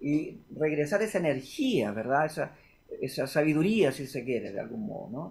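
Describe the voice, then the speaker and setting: Lively intonation from a somewhat breathy man with a fairly high pitch, at a moderate pace. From Chile. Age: 60s. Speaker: guitarist and music producer. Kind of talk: interview. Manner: halting, with frequent repetitions.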